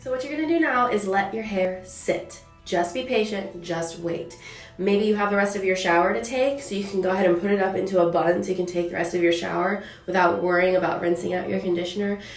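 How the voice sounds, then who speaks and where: With music in the background, a woman speaks at a very fast pace with ordinary pitch variation. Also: medium pitch for a woman. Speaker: curly hair tutorial creator. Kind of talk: hair care tutorial talk to camera.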